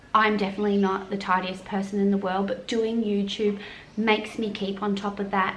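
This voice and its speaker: Spoken in an Australian accent with monotone, flat intonation, the clip has noticeable background noise and audible room echo. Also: woman. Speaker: mum vlogger. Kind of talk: casual chat.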